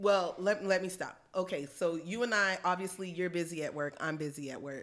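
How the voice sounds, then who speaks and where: A woman in an unremarkable speaking voice talks at a moderate pace and medium pitch with ordinary pitch variation. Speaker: podcast co-host. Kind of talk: casual chat.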